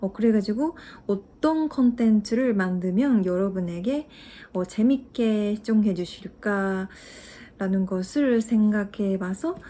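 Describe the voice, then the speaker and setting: A woman talks at a very slow pace with a fairly high pitch, a dark, mellow tone and ordinary pitch variation. Her voice sits on a very clean recording with a silent background. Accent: Japanese. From Japan. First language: Japanese (speaking Korean). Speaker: language-learning YouTuber. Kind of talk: casual vlog talk to viewers. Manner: halting, many fillers.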